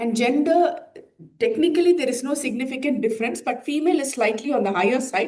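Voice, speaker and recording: A woman speaks with lively intonation, and room echo can be heard. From India. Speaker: plastic surgeon. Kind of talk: conference presentation. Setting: conference hall with audience. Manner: hesitant, many filler uhs.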